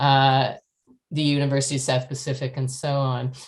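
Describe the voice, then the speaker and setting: A woman with a Canadian accent talks at a moderate pace over a quiet background. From Canada. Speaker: professor. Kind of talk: interview.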